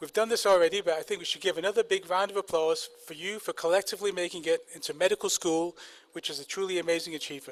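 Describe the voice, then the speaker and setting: A man talks very fast in a high voice, his intonation fairly even. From northern England, Manchester. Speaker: medical school faculty, kidney doctor. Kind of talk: ceremony speech. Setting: outdoor ceremony with audience.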